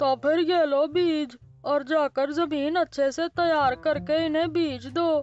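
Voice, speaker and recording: A cartoonish character voice runs on with hardly any pauses. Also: fairly slow pace. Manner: confident, advising.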